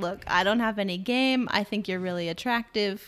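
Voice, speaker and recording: In a plain, everyday voice, a woman talks at a moderate pace with ordinary pitch variation. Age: 30s. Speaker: podcast co-host. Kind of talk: casual chat.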